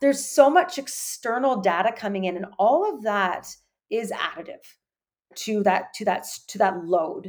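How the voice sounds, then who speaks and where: In a Canadian accent, a woman with an unremarkable speaking voice talks at a fairly high pitch, her intonation lively and her loudness swinging widely. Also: moderate pace. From Canada. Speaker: sports dietitian. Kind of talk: interview.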